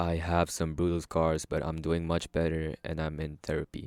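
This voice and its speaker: In a very clean recording with a silent background, a man with a slight non-native accent speaks at a moderate pace in a very deep, low pitch. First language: not English. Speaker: story narrator. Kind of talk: casual chat; reading aloud. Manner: hesitant.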